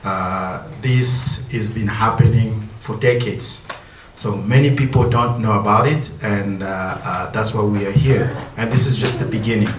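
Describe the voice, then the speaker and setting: A man speaks at a fairly slow pace, with a medium pitch and fairly even intonation. Audible room echo and noticeable background noise sit behind him. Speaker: community association president. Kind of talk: presentation to audience. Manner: loud; halting with fillers.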